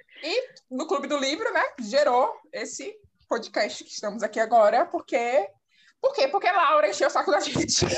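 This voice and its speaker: A woman with a high pitch speaks at a moderate pace, her voice making very wide pitch swings and big swings in loudness. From Bahia, Brazil (Salvador). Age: 20s. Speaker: podcast co-host. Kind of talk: casual chat.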